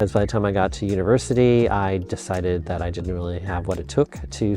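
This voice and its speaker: With music in the background, a man with an American accent talks very fast in a very deep, low voice. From US Midwest (Minnesota, Illinois). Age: 60s. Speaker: psychology professor. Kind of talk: personal vlog reflection. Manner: casual, with filler words.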